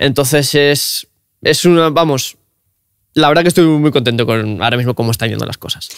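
A normal speaking voice from a man, fairly high in pitch, at a fairly quick pace with ordinary pitch variation. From Cantabria, Spain. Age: 20s. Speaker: car content creator. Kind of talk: casual interview chat.

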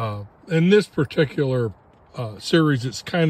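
A man speaks at a moderate pace in a somewhat breathy voice. The sound is dry, with no echo. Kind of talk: casual vlog chat. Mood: relaxed, content. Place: open country. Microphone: phone near.

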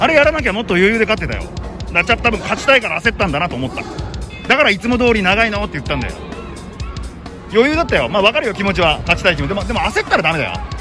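A man speaks at a very fast pace in a high-pitched voice. Music is clearly audible in the background. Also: dry sound with no echo. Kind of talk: casual post-fight feedback chat. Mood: proud, gently coaching. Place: street. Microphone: phone near.

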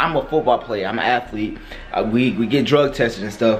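Faint music can be heard behind the speech. The man talks at a moderate pace. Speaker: vlogger planning a prank. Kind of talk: casual vlog chat. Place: home room. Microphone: phone near.

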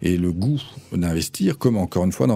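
A man with a very deep, low voice and a dark, mellow tone speaks over a quiet background. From France, Nantes; France. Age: 50s. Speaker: cultural venue director; radio guest. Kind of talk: radio interview. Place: studio. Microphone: studio mic.

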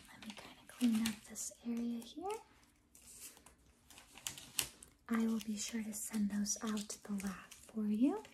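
Soft-spoken and gentle in tone, the speaker talks at a fairly slow pace with fairly even intonation and long, frequent pauses over noticeable background noise. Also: woman. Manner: soft, gentle ASMR doctor voice. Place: home room. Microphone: phone near.

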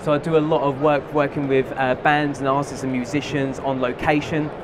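Over noticeable background noise, the voice holds a monotone, flat intonation. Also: man. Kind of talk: live product demonstration. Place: hall. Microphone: headset.

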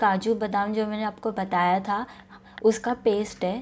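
A woman speaks at a medium pitch. Her tone is slightly mellow and her intonation fairly even.

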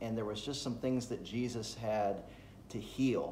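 The voice belongs to a man. Room echo can be heard, along with faint background noise. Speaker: pastor. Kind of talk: devotional talk. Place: home room. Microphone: phone near.

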